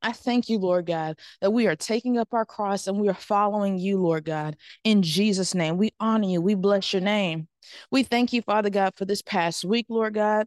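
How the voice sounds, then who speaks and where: An ordinary speaking voice from a woman at medium pitch and moderate pace, with fairly even intonation and very even loudness, in a dry, close sound with no echo and a quiet background. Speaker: church member. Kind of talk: prayer. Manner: fervent.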